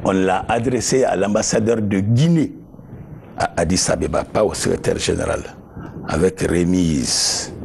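A man with a fairly low voice talks at a very slow pace over light background noise. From Guinea. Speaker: former government official; interviewee. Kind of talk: interview testimony. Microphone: lapel.

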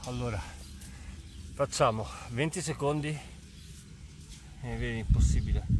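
A man's voice in a dry sound with no echo, against noticeable background noise. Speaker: fitness coach. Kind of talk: casual workout livestream chat. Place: open country.

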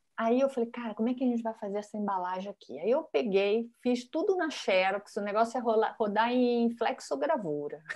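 Against a quiet background, a woman speaks at a fairly quick pace with hardly any pauses. Her pitch is fairly high and her intonation lively. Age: 50s. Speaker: design professor and author; design professor guest. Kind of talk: casual interview chat. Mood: animated, laughing. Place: home room. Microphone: earbuds.

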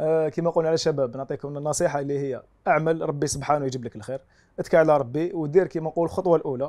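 Over a quiet background, a man speaks at a very fast pace in a fairly high pitch with a dark, mellow tone, ordinary pitch variation and big swings in loudness. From Algeria. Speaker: volunteer and content creator; interview guest. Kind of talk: TV interview. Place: home room. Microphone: lapel.

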